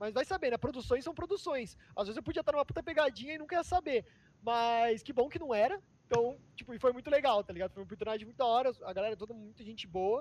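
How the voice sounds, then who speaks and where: A man's extremely high voice with lively intonation, at a very fast pace, with a dry, close sound and no echo. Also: big swings in loudness. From Sorocaba, interior of São Paulo, Brazil. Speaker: reality show contestant and online content editor. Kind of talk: casual interview. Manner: casual slangy, hesitant with fillers.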